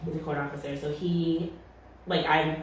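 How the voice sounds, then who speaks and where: A woman with a very deep, low pitch and an American accent speaks at a moderate pace in a monotone, flat delivery, with audible room echo and noticeable background noise. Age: 20s. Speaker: community organizer. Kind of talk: interview. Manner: casual, many fillers.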